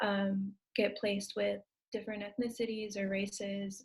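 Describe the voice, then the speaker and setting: In a somewhat breathy, medium-pitched voice, a woman speaks with monotone, flat intonation. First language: Spanish. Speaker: adoptee panelist, former social worker. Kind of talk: panel discussion.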